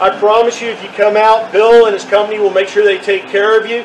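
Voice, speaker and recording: A man with a Texan accent and high pitch talks at a fairly quick pace over light background noise. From Texas. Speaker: realtor video host. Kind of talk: street-seller pitchman patter, upbeat promo spiel. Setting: outdoors. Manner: friendly, folksy. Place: open country. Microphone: camera far.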